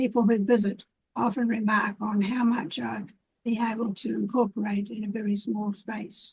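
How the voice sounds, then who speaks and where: A woman with a somewhat breathy, fairly high-pitched voice speaks at a moderate pace with fairly even intonation. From New Zealand, Wairarapa (moved from Wellington at eight). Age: 80s+. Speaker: community activist and gardener. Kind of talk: casual interview. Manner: hesitant, with fillers.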